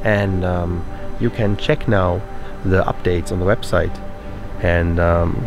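A man talks at a fairly slow pace with ordinary pitch variation. Clear music plays in the background, and the sound is dry with no echo. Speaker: road trip vlogger. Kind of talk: casual vlog chat. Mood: pleased, calm. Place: street. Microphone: phone near.

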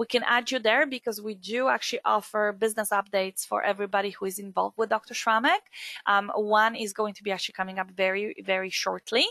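Bright and sharp in tone, a woman's medium-pitched voice moves at a very fast pace with fairly even intonation, in a dry, close sound with no echo. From Poland. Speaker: skincare trainer. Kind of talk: webinar presentation.

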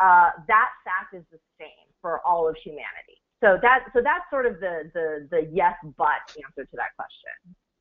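A woman with an American accent uses a normal speaking voice at medium pitch, moderate pace and lively intonation, with big swings in loudness. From United States. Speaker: business executive, guest speaker. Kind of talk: webinar presentation. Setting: online webinar.

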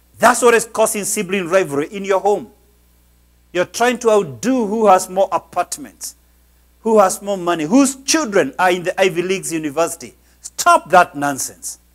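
Speaking at a moderate pace, a man uses a high pitch and lively intonation. The background is quiet. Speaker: pastor, preacher. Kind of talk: sermon, motivational preaching. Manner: emphatic, preacherly. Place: church. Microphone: lapel.

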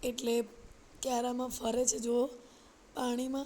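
The speaker is a woman. Her voice is high-pitched. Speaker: vlogger and mother. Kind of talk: casual vlog talk to camera.

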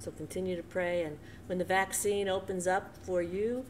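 Light background noise sits behind a woman with an American accent, a fairly low pitch and fairly even intonation. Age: 60s. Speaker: church co-leader; devotional host. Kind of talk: conversational devotional talk. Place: home room. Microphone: webcam.

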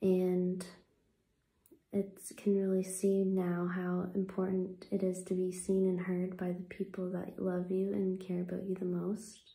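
A soft-spoken woman talks at a fairly slow pace in a gentle, soothing tone with monotone, flat intonation and audible room echo. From Canada. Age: 20s. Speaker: ASMR content creator. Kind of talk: guided meditation, gentle affirmations. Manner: soft-spoken, slow and soothing; gentle, reassuring, unhurried pacing. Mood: earnest, reflective. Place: home room. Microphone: phone near.

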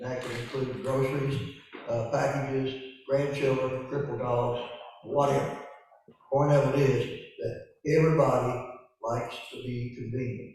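With a Tennessee accent, a man speaks at a moderate pace in a flat monotone, pausing long and often, with audible room echo and music in the background. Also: medium pitch for a man. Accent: US South, Tennessee. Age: 70s. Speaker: local business owner addressing county commission. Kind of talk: public comment at meeting. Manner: halting, many fillers.

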